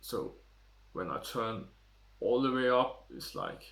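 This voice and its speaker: A man's fairly slow speech rings with audible room echo. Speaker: tech reviewer. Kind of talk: product review vlog. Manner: speaks quietly at times to demonstrate.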